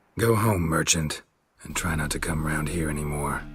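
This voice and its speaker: A man puts on a character voice, raspy and very deep in pitch, talking at a moderate pace. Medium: game stream. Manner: terse, deadpan.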